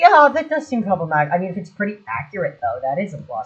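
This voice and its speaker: The speech is mumbled. It moves at a very fast pace. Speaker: gaming streamer. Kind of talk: casual chat. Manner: fast, mumbling.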